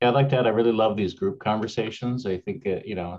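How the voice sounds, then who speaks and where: Speaking very fast, a man with a fairly low pitch uses ordinary pitch variation. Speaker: city councilor and board member; city councilor. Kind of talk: public board meeting. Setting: video call. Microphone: video call.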